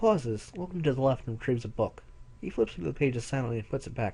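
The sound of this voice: The tone is dark and mellow, with vocal fry. Big pitch swings come at a fairly quick pace. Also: man, medium pitch for a man.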